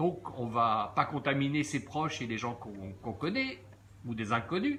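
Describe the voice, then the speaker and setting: Here a man speaks at a fairly slow pace. His tone is bright and sharp. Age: 60s. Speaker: social media commentator. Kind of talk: live stream monologue. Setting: outdoors at a beach. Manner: hesitant, many fillers.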